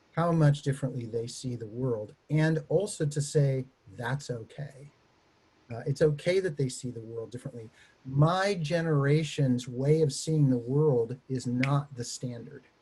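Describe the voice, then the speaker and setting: A man with an American accent speaks slowly-ish, at a fairly slow pace, with a fairly high pitch and ordinary pitch variation. His tone is dark, mellow and somewhat breathy, with big swings in loudness. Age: 60s. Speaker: theology professor. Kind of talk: panel discussion.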